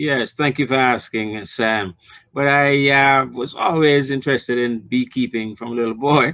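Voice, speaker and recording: A man with a Jamaican accent speaks at a moderate pace in a medium pitch, his intonation fairly even. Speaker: new beekeeper. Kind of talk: TV interview.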